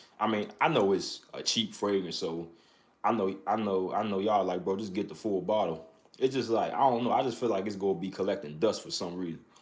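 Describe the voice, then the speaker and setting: In a room with audible echo, a man with a fairly low pitch talks at a fairly quick pace, his pitch varying in an ordinary way. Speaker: fragrance reviewer. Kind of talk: live stream chat. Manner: loud; talking low.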